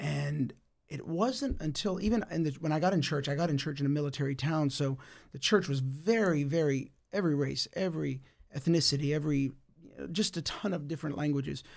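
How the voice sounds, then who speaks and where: On a very clean recording with a silent background, a man with an American accent uses an ordinary speaking voice, talking at a fairly quick pace with a fairly high pitch and ordinary pitch variation. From United States. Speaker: pastor. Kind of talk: casual chat. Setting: studio.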